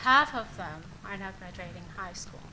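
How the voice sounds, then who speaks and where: A woman with a Puerto Rican accent speaks at a fairly slow pace, with a medium pitch and ordinary pitch variation. Room echo is audible. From Puerto Rico. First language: Spanish. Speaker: nonprofit CEO and education board member. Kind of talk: public board statement. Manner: formal.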